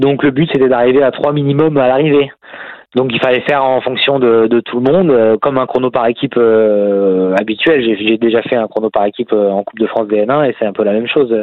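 A man speaks at a medium pitch with ordinary pitch variation. His loudness stays very even and his pace is fairly quick. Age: 30s. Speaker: professional cyclist. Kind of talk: casual interview. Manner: halting, many repetitions.

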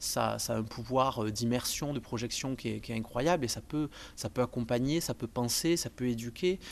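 A man talks at a moderate pace and with ordinary pitch variation, with a quiet background behind him. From southern France, Montpellier. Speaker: video game industry worker. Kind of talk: personal testimony interview. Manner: halting, many hesitations.

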